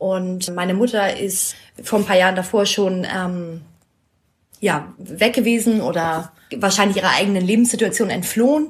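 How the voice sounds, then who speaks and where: A woman's voice comes across as somewhat breathy. Her pitch moves in an ordinary way. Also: medium pitch for a woman, moderate pace. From northern Germany, Schleswig-Holstein. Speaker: interviewee. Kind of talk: casual interview.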